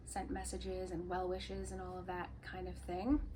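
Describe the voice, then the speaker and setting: The woman moves along at a fairly quick pace. Noticeable background noise and audible room echo are present. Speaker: yarn shop owner and knitwear designer podcaster. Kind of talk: casual podcast monologue.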